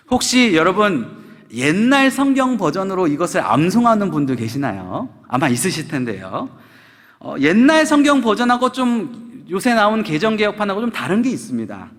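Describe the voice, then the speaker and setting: With audible room echo, a man speaks at a moderate pace in a high pitch, making very wide pitch swings. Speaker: pastor. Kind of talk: sermon.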